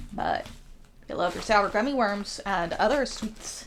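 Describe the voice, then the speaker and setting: Very wide pitch swings mark a woman's speech at a moderate pace. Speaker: food reviewer. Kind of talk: casual food review. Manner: casual, halting with repeats.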